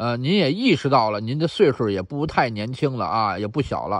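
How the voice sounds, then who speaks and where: The speaker has a Beijing accent and very wide pitch swings. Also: man. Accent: Beijing Mandarin. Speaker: YouTube commentator. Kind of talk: monologue answering listener email.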